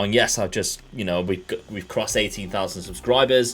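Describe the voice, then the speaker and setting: A man in an English accent, fairly quick pace, ordinary pitch variation, music in the background. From England. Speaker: video game streamer. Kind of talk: casual live stream commentary.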